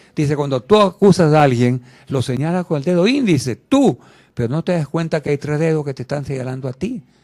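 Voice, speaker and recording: A man's dark, mellow tone at a fairly quick pace, with ordinary pitch variation and a dry, close sound with no echo. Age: 80s+. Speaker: interview guest. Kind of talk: radio interview.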